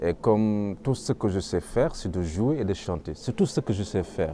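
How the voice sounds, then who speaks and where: A man speaks at a fairly slow pace. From Senegal. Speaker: griot musician, kora player. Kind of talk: interview answer.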